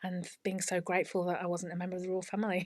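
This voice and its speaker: A woman of medium pitch speaks with an English Midlands accent in a very clean recording with a silent background. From English Midlands, Leicestershire. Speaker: teacher and former royal housemaid. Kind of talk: interview storytelling. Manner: animated.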